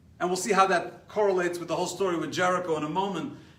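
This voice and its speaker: Music plays behind a man with an American accent and an animated tone. His voice is raised and projected, and room echo is audible. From New York. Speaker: rabbi teaching a class. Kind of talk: lecture. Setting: live stream class.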